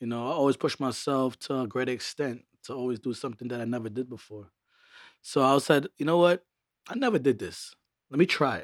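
A man with a plain, everyday voice and an American accent, medium in pitch with ordinary pitch variation, big swings in loudness, a fairly quick pace, and a very clean recording over a silent background. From Brooklyn, New York. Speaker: DJ. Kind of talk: casual interview chat.

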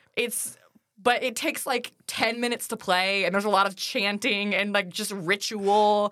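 A woman at a moderate pace and fairly high pitch, a plain, everyday voice. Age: 20s. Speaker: teacher, podcast co-host. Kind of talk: casual chat.

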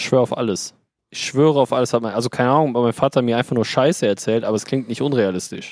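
The sound is dry and close, with no echo. A man talks at a very fast pace with ordinary pitch variation. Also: medium pitch for a man. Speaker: podcast co-host. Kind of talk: casual chat. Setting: remote call from beach on holiday.

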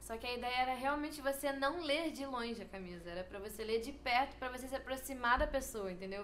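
A woman talks with ordinary pitch variation, and audible room echo can be heard. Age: 20s. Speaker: fashion student. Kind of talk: casual chat.

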